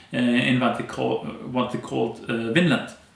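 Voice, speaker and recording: A man with an Icelandic accent talks at a moderate pace in a medium pitch, with audible room echo. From Iceland, Westfjords. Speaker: anthropologist and storyteller; storyteller. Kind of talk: interview. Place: home room.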